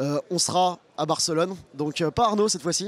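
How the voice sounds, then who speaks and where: Here a man talks with a high pitch and fairly even intonation. The sound is dry and close, without echo. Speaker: football fan channel host. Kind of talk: post-match discussion. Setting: outdoors in front of a bar.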